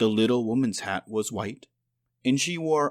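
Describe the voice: The background is quiet. Over it comes plain reading aloud.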